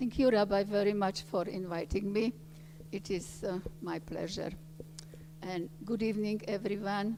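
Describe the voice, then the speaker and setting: A woman with a Slovak accent talks at a moderate pace and medium pitch, her intonation fairly even and broken by long, frequent pauses. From Slovakia. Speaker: Holocaust survivor. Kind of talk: testimony.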